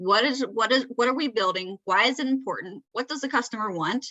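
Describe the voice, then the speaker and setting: A woman talks at a fairly quick pace in a high pitch. Her intonation is lively. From Georgia, US South. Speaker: Scrum Master, presenter. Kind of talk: presentation to user group. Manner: conversational, filler-heavy.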